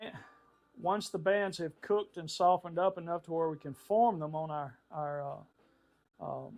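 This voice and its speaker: A man speaks at a moderate pace in a high pitch, with ordinary pitch variation and big swings in loudness. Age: 70s. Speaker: woodworker. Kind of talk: tutorial. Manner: casual, halting with fillers.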